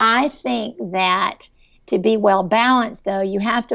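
An ordinary speaking voice from a woman, medium in pitch, at a fairly slow pace. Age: 50s. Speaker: business executive. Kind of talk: interview.

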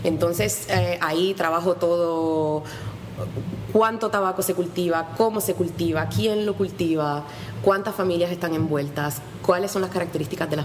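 A woman speaks at a fairly low pitch with ordinary pitch variation. Audible room echo and noticeable background noise surround her voice. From Puerto Rico. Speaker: history professor and author. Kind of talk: radio interview.

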